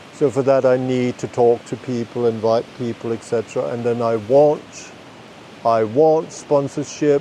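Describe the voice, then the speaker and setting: A man with a medium-pitched voice and fairly even intonation speaks at a fairly slow pace over noticeable background noise. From Denmark. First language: Danish. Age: 50s. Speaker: podcast host. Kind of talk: unscripted monologue. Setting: outdoors in a forest. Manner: rambling, self-correcting.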